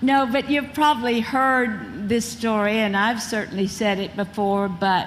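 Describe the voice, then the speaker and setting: With a Mississippi accent, a woman speaks with ordinary pitch variation amid audible room echo. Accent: Southern (Mississippi). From Mississippi, US South. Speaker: former beauty queen and actress. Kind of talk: interview on stage. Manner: talkative.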